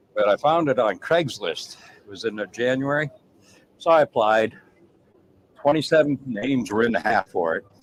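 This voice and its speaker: In a New England accent, a man with a fairly high pitch speaks at a moderate pace with lively intonation, big swings in loudness and long, frequent pauses, the sound dry and close with no echo. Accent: Yankee. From US North. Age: 60s. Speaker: chef. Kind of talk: casual chat.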